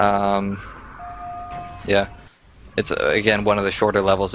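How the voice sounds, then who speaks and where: Noticeable background noise surrounds this man. He speaks at a moderate pace with a fairly low pitch. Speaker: speedrunner commentator. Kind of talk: game commentary. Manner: halting, with fillers.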